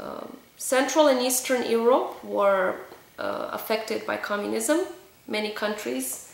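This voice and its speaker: Over noticeable background noise and audible room echo, a woman speaks at a fairly slow pace. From Romania. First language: Romanian. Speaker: vlogger. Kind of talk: personal testimony. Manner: hesitant, many fillers.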